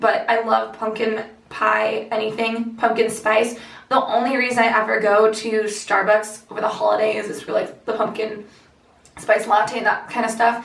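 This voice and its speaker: Amid noticeable background noise and audible room echo, a woman speaks in a fairly high, monotone, flat voice at a moderate pace. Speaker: lifestyle vlogger. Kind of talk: casual vlog chat.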